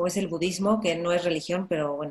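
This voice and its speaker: Here a woman speaks with a Mexican accent. Her pitch varies in an ordinary way. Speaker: podcast host. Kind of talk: interview conversation.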